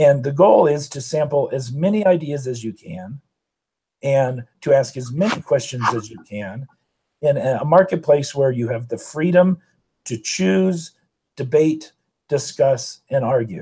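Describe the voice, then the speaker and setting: A man's fairly high, somewhat breathy voice with a dark, mellow tone, lively intonation, big swings in loudness and a fairly slow pace. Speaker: communication professor and debate coach. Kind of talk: lecture.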